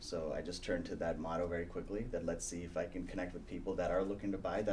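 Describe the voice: A man speaks at a fast pace.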